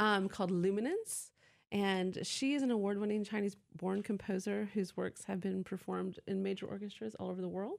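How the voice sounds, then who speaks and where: A woman with a plain, everyday voice speaks in an American accent at medium pitch with fairly even intonation. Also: fairly quick pace, very clean recording, silent background. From US South, Atlanta, Georgia. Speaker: university arts events representative. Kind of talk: radio interview.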